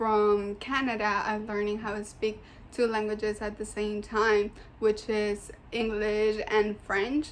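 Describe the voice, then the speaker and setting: A woman's fairly high voice with a strong non-native accent, at a fairly slow pace amid noticeable background noise. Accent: thick foreign. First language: Spanish. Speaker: student. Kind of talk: class presentation. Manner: casual, hesitant with fillers.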